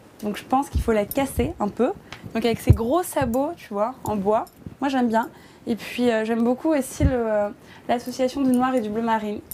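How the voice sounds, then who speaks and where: A fairly high-pitched woman at a fairly quick pace, with ordinary pitch variation and noticeable background noise. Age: 20s. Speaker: fashion blogger showing her wardrobe. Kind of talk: casual chat. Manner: hesitant, many fillers.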